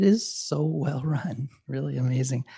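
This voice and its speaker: A man speaks with a medium pitch and a dark, mellow tone that is somewhat breathy. The sound is dry and close, with no echo. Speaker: public commenter. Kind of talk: public comment. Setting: council meeting. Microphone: speaking close to the microphone.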